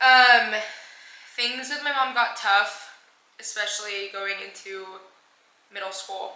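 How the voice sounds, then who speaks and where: Audible room echo accompanies a woman speaking at a fairly slow pace with fairly even intonation. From Panama, then San Antonio, Texas. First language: Spanish. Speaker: vlogger. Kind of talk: personal storytelling. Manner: casual with fillers.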